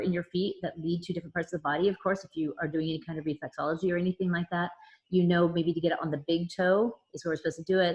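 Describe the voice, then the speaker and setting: A woman talks at a very fast pace. Her voice is somewhat breathy. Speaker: essential oils educator. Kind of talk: online class. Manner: talkative, short breaths.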